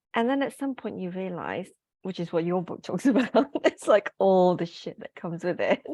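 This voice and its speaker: A woman speaks with lively intonation and a dark, mellow tone. The sound is dry and close with no echo, over a quiet background. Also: medium pitch for a woman, moderate pace. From Malaysia. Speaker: group fitness instructor and author. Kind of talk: casual chat. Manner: melodic.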